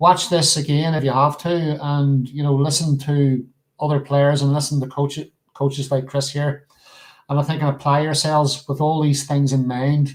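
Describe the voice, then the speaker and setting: Over a very clean recording with a silent background, a man speaks at a moderate pace in a monotone, flat intonation with a fairly high pitch. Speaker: snooker show host. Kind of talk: casual chat. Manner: loud; halting, many repeats.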